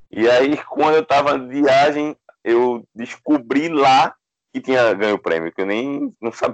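Against a quiet background, a man with a fairly high pitch speaks with a dry, close sound with no echo. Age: 40s. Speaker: journalist and author. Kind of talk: casual chat. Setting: remote call. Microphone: unstable connection.

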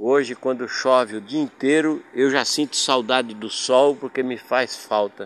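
A man talks in a normal speaking voice at a fairly slow pace, with fairly even intonation and hardly any pauses. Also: medium pitch for a man. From Paraná, Brazil. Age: 60s. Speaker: podcaster. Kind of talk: personal storytelling monologue.

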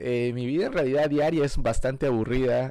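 Moderate in pace, a man speaks at a medium pitch with fairly even intonation. The recording is very clean, the background silent. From Peru. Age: 40s. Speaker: film commentary podcaster. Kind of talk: casual solo podcast monologue. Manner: hesitant, many fillers.

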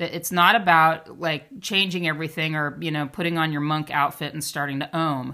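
A woman speaks with hardly any pauses in a very deep, low pitch, her tone bright and sharp. Her intonation is fairly even, and the recording is very clean with a silent background. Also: fairly quick pace. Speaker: podcast host and somatic shadow work coach. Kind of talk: solo monologue podcast, talk on hierarchy and shadow work. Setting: podcast recording. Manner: forceful, confident.

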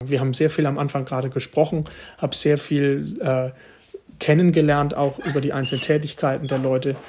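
Fairly high in pitch, a man talks at a fairly quick pace. His voice is somewhat breathy, with monotone, flat intonation. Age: 20s. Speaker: mayor. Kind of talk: interview answers.

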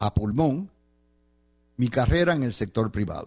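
Very wide pitch swings mark the voice of a man with a Puerto Rican accent. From Puerto Rico. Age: 70s. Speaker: radio host and political analyst. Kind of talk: radio commentary monologue.

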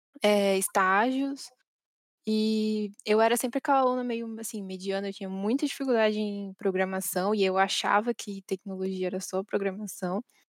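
In a plain, everyday voice, a woman speaks at a moderate pace with a fairly high pitch and fairly even intonation, the sound dry and close with no echo. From Brazil, not from São Paulo. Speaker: infrastructure engineer. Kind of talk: casual interview chat.

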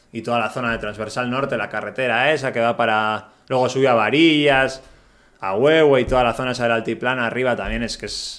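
With fairly even intonation and a fairly quick tempo, an unremarkable speaking voice delivers the words. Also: man, medium pitch for a man. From Basque Country, Spain. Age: 30s. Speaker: traveler, touring cyclist. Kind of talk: casual interview.

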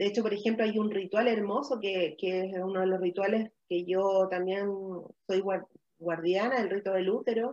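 A woman speaks in a plain, everyday voice, medium in pitch, at a moderate pace with ordinary pitch variation. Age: 40s. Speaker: women's wellness and ritual facilitator. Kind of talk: live-streamed conversational talk. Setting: live video stream.

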